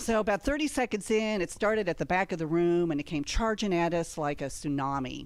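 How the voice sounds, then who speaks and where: A normal speaking voice from a woman with a fairly low pitch, lively intonation and a moderate pace, on a very clean recording with a silent background. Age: 60s. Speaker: comedian. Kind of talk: stand-up.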